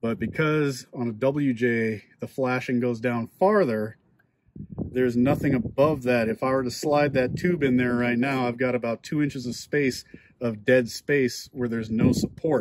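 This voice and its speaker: A man at a moderate pace with fairly even intonation, in a dry sound with no echo, over noticeable background noise. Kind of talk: tutorial. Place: garage. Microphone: phone near.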